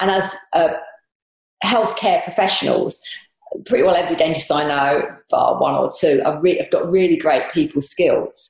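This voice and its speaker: A woman with a London accent at a moderate pace, with very even loudness and long, frequent pauses. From southeast London, England. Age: 60s. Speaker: dentist turned property investor. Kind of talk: interview.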